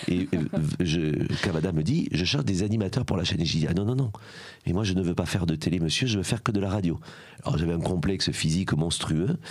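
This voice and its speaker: A man's very deep, low voice with ordinary pitch variation, at a fairly quick pace. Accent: strong southern French. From southern France, Aveyron. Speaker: former journalist, charity founder. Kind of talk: podcast interview. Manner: fillers, hesitant 'euh'.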